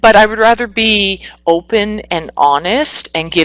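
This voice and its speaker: In a Canadian accent, the speaker talks at a fairly slow pace, with a dry, close sound that has no echo. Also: woman. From Northwestern Ontario, Canada. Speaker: psychotherapist. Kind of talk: webinar presentation.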